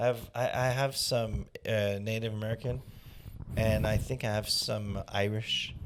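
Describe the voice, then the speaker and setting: At a fairly slow pace, a man with a Quebec accent talks at a medium pitch with fairly even intonation. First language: French. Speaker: comedian. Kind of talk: casual chat. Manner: halting.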